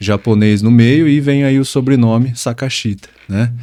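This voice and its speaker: A man's medium-pitched voice, dark and mellow, with fairly even intonation at a fairly slow pace, on a very clean recording with a silent background. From interior of São Paulo state, Brazil. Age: 20s. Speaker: personal trainer. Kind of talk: interview. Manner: hesitant, many fillers.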